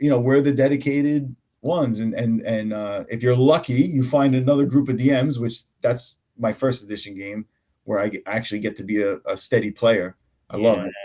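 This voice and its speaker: A man in a strong New York accent, dark and mellow in tone, medium in pitch with ordinary variation, at a fairly quick pace. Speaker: tabletop game master and homebrewer. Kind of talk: casual chat. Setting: live stream.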